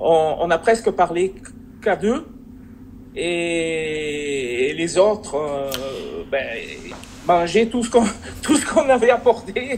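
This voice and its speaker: A man with a southern French accent speaks very slowly in a high pitch, with very wide pitch swings and long, frequent pauses. Noticeable background noise runs behind him. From southern France. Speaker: subscriber, investor. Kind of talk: casual chat. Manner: hesitant, many fillers.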